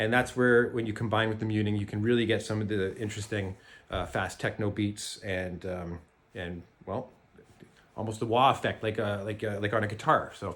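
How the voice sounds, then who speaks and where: Keeping a moderate pace, this man talks with fairly even intonation at a fairly low pitch. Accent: Canadian. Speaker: jaw harp maker and teacher. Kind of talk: tutorial. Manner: halting.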